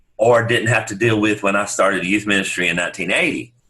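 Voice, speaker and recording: A bright, sharp tone carries a man's speech at a fairly quick pace. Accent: Southern US. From US South, upstate South Carolina. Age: 60s. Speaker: pastor. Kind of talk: casual interview chat.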